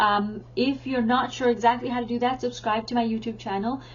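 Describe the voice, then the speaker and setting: This woman has a fairly high pitch and a somewhat breathy voice. She talks at a moderate pace with fairly even intonation. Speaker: teacher and parenting educator. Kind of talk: tutorial.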